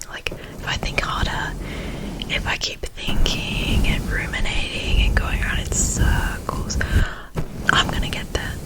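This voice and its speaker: Whispering at a very slow pace, a woman speaks in a gentle tone over noticeable background noise. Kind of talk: ASMR reassurance talk. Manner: soft-spoken, gentle.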